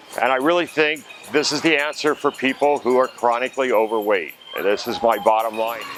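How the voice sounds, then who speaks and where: Over music in the background, a man speaks at a fairly quick pace with a medium pitch. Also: ordinary pitch variation. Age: 60s. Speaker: weight-loss surgery patient. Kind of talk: testimony.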